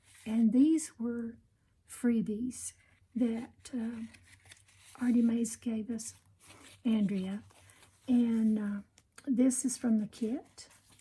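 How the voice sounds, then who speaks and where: A woman with a fairly high, dark and mellow voice talks at a very slow pace, her intonation fairly even and her speech broken by long, frequent pauses. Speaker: junk journal crafter. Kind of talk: craft show-and-tell tutorial. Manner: hesitant, many fillers.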